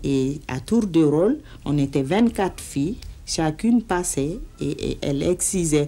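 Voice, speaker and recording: This woman has a dark, mellow tone and a fairly low pitch. Her intonation is lively, and her pace is very slow. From Mali. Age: 50s. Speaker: anti-excision campaigner. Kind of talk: personal testimony in documentary interview. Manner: hesitant, reflective.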